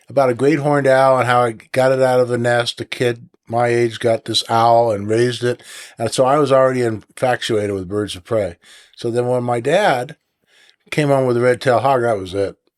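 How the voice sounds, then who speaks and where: An unremarkable speaking voice with a General American accent talks at a moderate pace with fairly even intonation, dry and close with no echo on a very clean recording with a silent background. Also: man, medium pitch for a man. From Northern California. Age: 60s. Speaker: falconer and raptor breeder. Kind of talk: casual interview.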